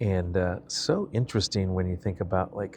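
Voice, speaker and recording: Over a quiet background, a man with an unremarkable speaking voice talks at a moderate pace and a fairly low pitch. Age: 50s. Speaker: vlogger. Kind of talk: personal vlog monologue. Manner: casual, with many fillers.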